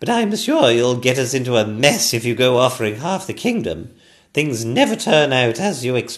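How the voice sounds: What you hear is a natural reading voice.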